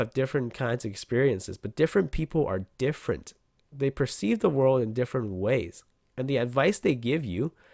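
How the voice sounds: Simply a natural reading voice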